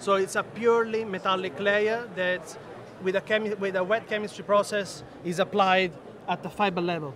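Over noticeable background noise, a man speaks at a moderate pace and a high pitch with fairly even intonation, the sound dry with no echo. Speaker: engineer at a textile tech startup. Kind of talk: trade show interview. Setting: trade show floor. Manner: halting, frequent fillers. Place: hall. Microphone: phone near.

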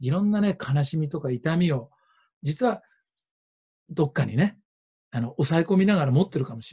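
A man's dark, mellow tone with lively intonation at a fairly quick pace, quiet background. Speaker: interpreter and speaker at ecovillage forum; speaker. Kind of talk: panel discussion with live interpreting. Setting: video call. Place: home room. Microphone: video call.

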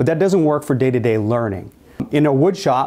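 A man with a dark, mellow tone against a quiet background. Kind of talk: informational presentation. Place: classroom. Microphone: lapel.

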